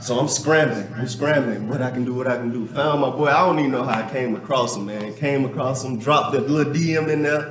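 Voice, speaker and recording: A man talks at a very fast pace with hardly any pauses, his medium pitch held in fairly even intonation. Noticeable background noise and audible room echo fill the recording. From US South, Georgia. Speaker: gym owner. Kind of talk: casual interview.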